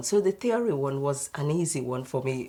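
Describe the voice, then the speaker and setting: A woman with a very deep, low pitch and a dark, mellow tone speaks at a moderate pace with lively intonation in a very clean recording with a silent background. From Nigeria. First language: Nigerian language (English second). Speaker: doctor. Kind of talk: panel discussion.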